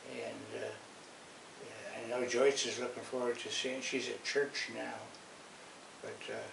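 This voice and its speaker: Long, frequent pauses mark a man's fairly slow speech. Noticeable background noise and audible room echo fill the recording. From Washington, D.C. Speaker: grandfather. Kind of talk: casual chat. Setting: at home, filmed before church. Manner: halting.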